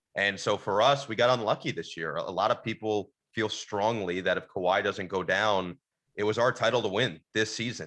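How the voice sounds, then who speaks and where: With a quiet background, a man with an unremarkable speaking voice and fairly low pitch talks with ordinary pitch variation. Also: moderate pace. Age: 20s. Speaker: sports broadcaster, radio play-by-play announcer. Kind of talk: interview answer.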